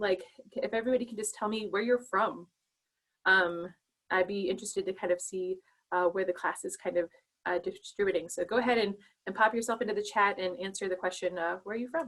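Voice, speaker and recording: She is a woman with an American accent and a medium pitch. Her pitch varies in an ordinary way at a fairly quick pace. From Montana (Chinook). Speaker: pharmacy lecturer. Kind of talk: online lecture. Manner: fast.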